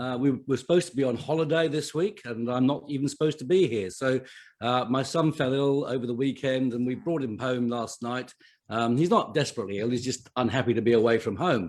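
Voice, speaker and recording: This man talks at a fairly quick pace. His voice sits at a medium pitch and shows ordinary pitch variation. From England. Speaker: chief financial officer and podcaster. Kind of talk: live online summit talk. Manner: hesitant, many fillers.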